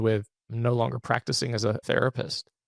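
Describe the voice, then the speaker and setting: The man's voice comes across somewhat breathy. The sound is dry and close, with no echo. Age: 30s. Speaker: therapist turned business owner and podcast host. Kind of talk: interview conversation.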